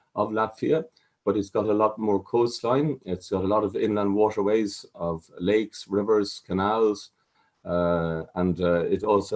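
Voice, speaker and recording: Against a quiet background, a man with an Irish accent speaks at a fairly low pitch. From Ireland. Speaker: water safety chief executive. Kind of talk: conference presentation. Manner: hesitant, many fillers.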